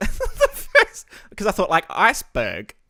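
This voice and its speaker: Someone with an Australian accent speaks at a fairly slow pace. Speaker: podcast host and streamer. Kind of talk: casual chat. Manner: animated.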